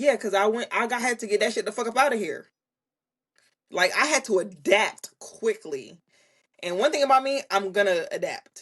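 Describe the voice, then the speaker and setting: A woman's voice with lively intonation at a moderate pace. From Jamaica. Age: 30s. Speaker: content creator, Navy member. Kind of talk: casual chat.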